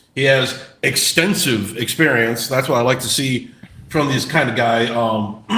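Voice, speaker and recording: Amid noticeable background noise and audible room echo, a man speaks with an American accent at a fairly slow pace, medium pitch, and ordinary pitch variation. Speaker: sports podcast co-host. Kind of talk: casual sports chat. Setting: live stream. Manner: halting, many repeats.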